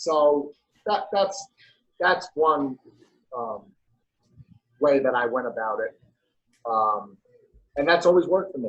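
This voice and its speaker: With a New York accent, a man speaks at a fairly slow pace with long, frequent pauses, his fairly high pitch carried by lively intonation. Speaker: personal trainer. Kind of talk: casual interview chat.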